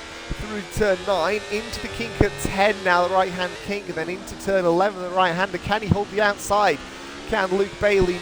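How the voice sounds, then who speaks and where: A man with a high voice speaks at a moderate pace in a monotone, flat intonation. Noticeable background noise can be heard. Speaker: sim racing commentator. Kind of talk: live commentary. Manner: hesitant with fillers.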